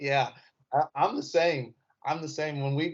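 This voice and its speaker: A man with a Southern accent. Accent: Southern-sounding, often taken for Texas. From Indiana. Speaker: comedian. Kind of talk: casual chat.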